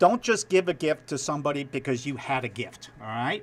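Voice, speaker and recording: A man with a New York accent and fairly high pitch talks at a moderate pace with lively intonation. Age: old. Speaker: TV news anchor. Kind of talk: casual chat.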